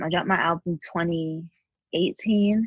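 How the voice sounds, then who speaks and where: Intonation stays fairly even while the speech holds a moderate pace. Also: woman. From Queens, New York. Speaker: singer-songwriter. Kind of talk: interview.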